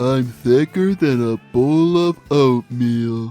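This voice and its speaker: Faint music plays in the background as a man with a medium pitch does a cartoonish character voice at a very slow pace. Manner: slow, dopey.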